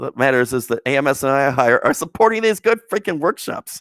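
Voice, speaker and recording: The man's lively intonation comes through a dry, close sound with no echo on a very clean recording with a silent background. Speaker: Montessori commentator. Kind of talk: commentary on an article, reading excerpts. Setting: Facebook live video. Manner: fast; hesitant, many fillers.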